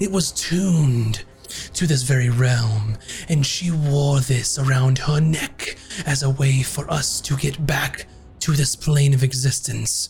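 A man puts on a character voice, talking at a fairly slow pace with a medium pitch. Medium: actual play. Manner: formal, archaic, measured.

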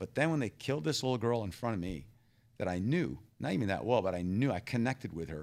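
The recording is very clean, with a silent background. A man with a fairly low pitch speaks with very wide pitch swings. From Thailand (American missionary family, born in Texas). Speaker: humanitarian aid leader and former soldier. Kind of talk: interview testimony.

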